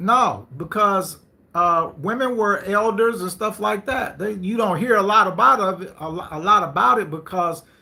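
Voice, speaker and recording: In a raised, projected voice, a man with a high pitch and a bright, sharp tone speaks at a moderate pace with ordinary pitch variation and big swings in loudness. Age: 50s. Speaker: live stream host. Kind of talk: live stream talk. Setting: live stream. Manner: animated.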